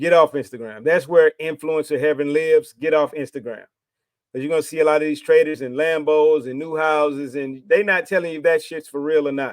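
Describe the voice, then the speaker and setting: Heard in a dry, close sound with no echo, a man speaks at a fairly quick pace with a fairly high pitch. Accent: Texas. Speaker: trading educator YouTuber. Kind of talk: motivational rant to camera. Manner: animated.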